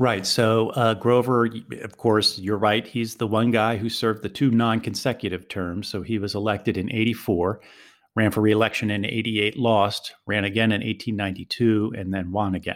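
Speaking with an American accent, a man keeps a moderate pace with hardly any pauses and monotone, flat intonation. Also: fairly low pitch for a man. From US, Philadelphia. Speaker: author and journalist. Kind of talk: interview.

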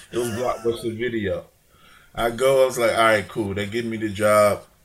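A man's voice at a medium pitch, coming across somewhat breathy. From Chicago, US Midwest. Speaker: rapper's father and manager, entrepreneur. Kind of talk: casual interview.

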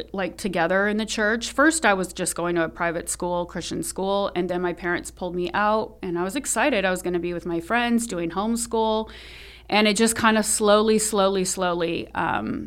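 With a Californian accent, a woman speaks at a medium pitch. Her pace is moderate and her pitch variation ordinary. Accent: General American, Californian. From US West, Sacramento, California. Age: 40s. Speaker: philanthropist and lifestyle influencer. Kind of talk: personal testimony in interview. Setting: studio. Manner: hesitant, many fillers.

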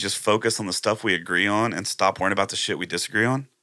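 A man with a Texan accent speaks at a fairly quick pace in a fairly low voice, his tone bright and sharp on a very clean recording with a silent background. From Texas, Plum Grove near Houston. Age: 40s. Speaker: country musician. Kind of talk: casual chat. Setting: live-streamed podcast studio.

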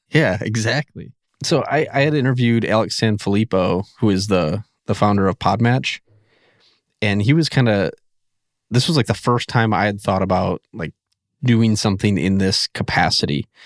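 With an American accent, a man speaks in an unremarkable speaking voice at a moderate pace, his pitch fairly low with ordinary pitch variation, on a very clean recording with a silent background and a dry, close sound with no echo. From central Wisconsin. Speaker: podcast launch consultant. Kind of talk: interview. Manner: casual, filler-heavy.

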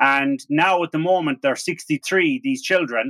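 A man in an Irish accent speaks at a fairly slow pace with a fairly high pitch. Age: 40s. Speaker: podcast host. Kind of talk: casual interview. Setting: remote call.

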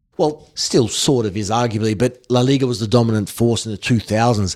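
A man with a slight Australian accent speaks at a medium pitch. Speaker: football presenter. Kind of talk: interview.

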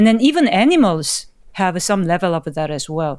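A voice with a Korean accent comes through in a very clean recording with a silent background. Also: woman. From South Korea. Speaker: computer science professor. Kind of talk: interview.

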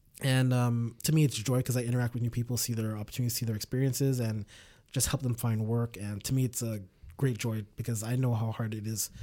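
With a Montreal accent, a man speaks at a fairly quick pace in a medium pitch, his tone dark and mellow and his intonation monotone and flat, on a very clean recording with a silent background. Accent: Montreal English (Canadian). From Canada, Montreal. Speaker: podcaster. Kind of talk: casual chat. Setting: studio.

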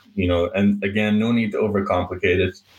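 With an Irish accent, a man speaks at a fairly low pitch. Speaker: painting business owner. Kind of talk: interview.

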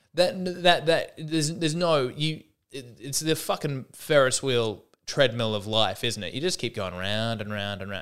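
The intonation is lively, with an Australian accent. The recording is very clean, with a silent background. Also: man. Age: 30s. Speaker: stand-up comedian and podcast host. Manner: rambling, wry, stop-start with frequent restarts and self-corrections.

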